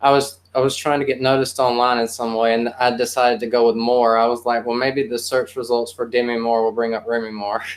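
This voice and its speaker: A man talking at a very fast pace with hardly any pauses, monotone, flat intonation, a medium pitch and a Southern accent. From South Carolina. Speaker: poet and musician. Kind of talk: casual chat.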